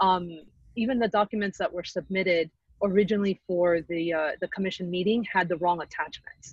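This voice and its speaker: A woman at a fairly quick pace, somewhat breathy, with fairly even intonation, a dry sound with no echo and a quiet background. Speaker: committee chair. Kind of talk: public meeting. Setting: video call. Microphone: video call.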